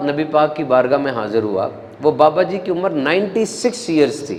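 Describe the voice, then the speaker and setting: A man speaks with lively intonation while noticeable background noise plays. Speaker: Islamic preacher. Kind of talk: religious sermon with a story, delivered to an audience.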